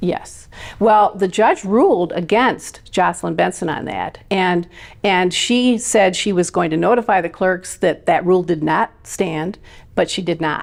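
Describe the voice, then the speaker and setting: A woman at a fairly slow pace, medium in pitch with ordinary pitch variation, in an Upper Midwest US accent. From Michigan. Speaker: election integrity activist. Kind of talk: interview. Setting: podcast interview.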